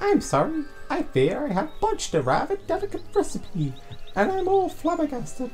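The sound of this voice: Over clear background noise, a put-on character voice with a high pitch moves at a moderate pace.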